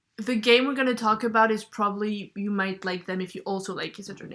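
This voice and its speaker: A woman speaks with a strong French accent. Her pitch is medium and her pace fairly quick. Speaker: podcast co-host. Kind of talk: casual chat.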